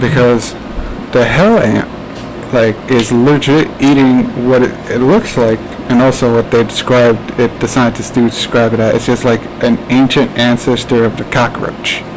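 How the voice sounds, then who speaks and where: A man talks with an American accent at a medium pitch. Noticeable background noise can be heard. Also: moderate pace. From New Jersey, US. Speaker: podcast host. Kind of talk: casual chat. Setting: live stream. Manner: halting.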